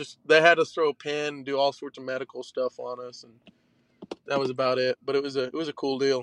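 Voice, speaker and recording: With an Oklahoma accent, a man speaks at a fairly quick pace in a fairly high pitch, his intonation monotone and flat, his loudness swinging widely, and the sound dry and close with no echo. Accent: Oklahoma Southern American. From western Oklahoma, Shattuck. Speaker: college baseball pitcher. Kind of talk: interview.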